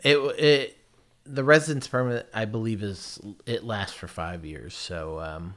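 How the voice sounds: Speaking fairly slowly with an American accent, a man has a fairly low pitch, a fairly bright tone and ordinary pitch variation.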